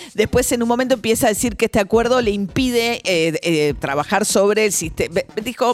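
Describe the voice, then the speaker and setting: Noticeable noise sits behind speech that runs at a fairly quick pace. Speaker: radio news host. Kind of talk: news commentary.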